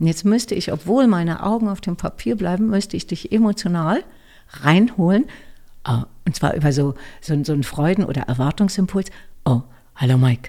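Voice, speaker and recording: Her fairly low voice, dark and mellow in tone, makes very wide pitch swings as this woman speaks at a moderate pace with long, frequent pauses, on a very clean recording with a silent background. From Berlin, Germany. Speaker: voice actor and speech coach. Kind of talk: interview.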